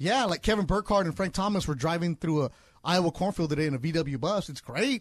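The speech races at a very fast pace with lively intonation. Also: man, quiet background. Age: 40s. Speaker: fill-in sports radio host. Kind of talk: casual sports radio chat. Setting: radio studio.

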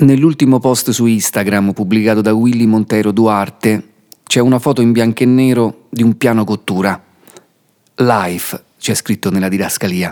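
A normal speaking voice at a moderate pace, with very even loudness and fairly even intonation. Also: man, medium pitch for a man. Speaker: podcast narrator. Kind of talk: scripted narration.

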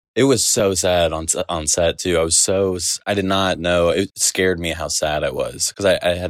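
A man's pitch varies in an ordinary way on a very clean recording with a silent background. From Texas, Dallas. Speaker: filmmaker. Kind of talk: interview. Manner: halting, many restarts.

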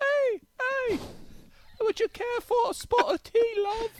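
A put-on character voice with a British accent is pitched extremely high. It moves at a fairly slow pace. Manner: polite, inviting.

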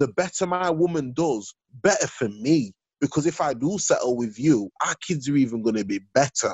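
A man speaks in a Yorkshire accent. His pitch variation is ordinary. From Sheffield, northern England. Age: 30s. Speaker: podcaster. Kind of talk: casual chat.

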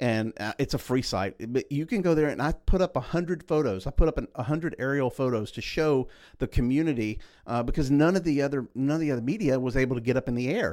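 Delivered at a very fast pace with ordinary pitch variation, the speech has a Southeast Texas accent and comes on a very clean recording with a silent background. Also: man, fairly high pitch for a man. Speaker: motorsports journalist. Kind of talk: casual chat.

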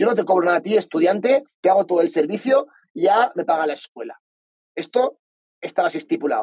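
This man talks very fast in a Valencian accent, his voice pitched high. His pitch swings very widely. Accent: Spanish from Spain (Valencia). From Spain (Valencia). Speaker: entrepreneur. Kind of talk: interview.

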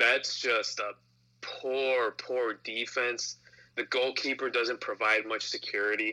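At a very slow pace, a man speaks in a medium pitch with monotone, flat intonation. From Mexican-American, US. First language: Spanish. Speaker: soccer fan guest. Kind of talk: casual sports chat.

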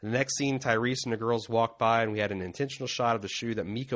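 A man talking at a very fast pace, medium pitch, against a quiet background. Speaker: podcast host. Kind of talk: casual chat. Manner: joking, casual.

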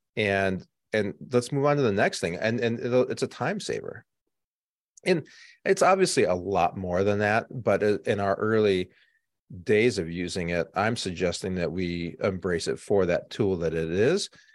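With a plain, everyday voice, a man of fairly low pitch talks at a moderate pace with ordinary pitch variation over a quiet background. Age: 50s. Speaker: marketing agency executive. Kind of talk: interview.

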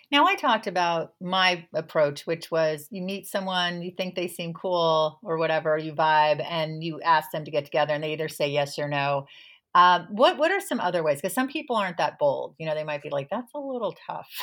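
Using a normal speaking voice, a woman talks at a fairly low pitch and a fairly quick pace with hardly any pauses. Her pitch varies in an ordinary way. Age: 50s. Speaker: podcast host and health author. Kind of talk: interview chat.

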